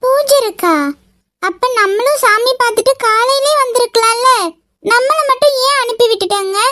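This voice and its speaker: In a cartoonish character voice, a woman speaks at an extremely high pitch with very even loudness. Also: moderate pace, ordinary pitch variation. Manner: innocent, bashful.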